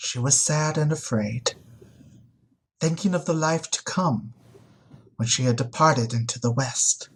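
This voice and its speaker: In a put-on character voice, a man speaks at a moderate pace with a resonant sound, medium pitch and ordinary pitch variation. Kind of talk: oratorical storytelling. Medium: read story. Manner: eloquent, measured.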